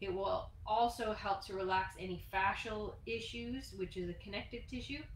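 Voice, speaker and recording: The speech moves at a moderate pace with fairly even intonation. Room echo is audible. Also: woman, fairly high pitch for a woman. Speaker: fitness instructor. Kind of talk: tutorial. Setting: live stream. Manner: soft-spoken.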